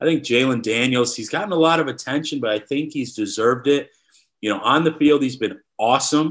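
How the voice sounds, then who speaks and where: This man has a normal speaking voice at a medium pitch with ordinary pitch variation. He talks at a fairly quick pace against a quiet background. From Wisconsin. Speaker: sports writer. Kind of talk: casual interview.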